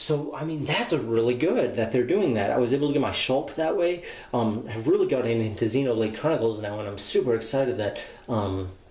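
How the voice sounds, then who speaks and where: Noticeable background noise sits under talk at a fairly quick pace. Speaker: YouTuber, toy collector. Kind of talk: casual vlog monologue. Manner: repetitive, filler-heavy (um, uh).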